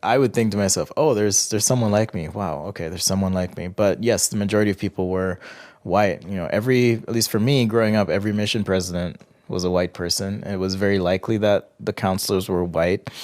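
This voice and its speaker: Very fast speech in an American accent carries fairly even intonation. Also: man, fairly low pitch for a man. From Jamaica. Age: 30s. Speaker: interview guest. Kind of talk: interview. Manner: hesitant, with fillers.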